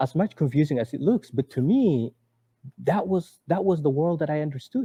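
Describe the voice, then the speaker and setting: The delivery is fairly quick with lively intonation, recorded with a dry, close sound and no echo. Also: man, fairly high pitch for a man. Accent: Somali. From Somalia, Mogadishu. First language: Somali. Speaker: author and former refugee. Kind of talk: interview. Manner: halting, with many repetitions.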